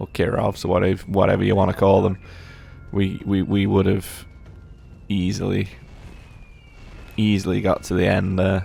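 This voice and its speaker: A man with a very deep, low pitch speaks in a monotone with flat intonation at a moderate pace. Long, frequent pauses break up his speech, with music in the background. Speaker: gaming commentator. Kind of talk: gameplay commentary. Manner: casual, filler-heavy; halting, stuttering.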